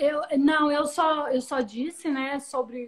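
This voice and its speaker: A woman with a Brazilian accent. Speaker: live-stream host. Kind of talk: live-stream interview.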